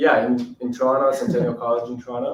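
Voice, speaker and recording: Speaking at a moderate pace, a man with a Portuguese accent uses a medium pitch and fairly even intonation. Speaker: documentary filmmaker. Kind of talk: testimony.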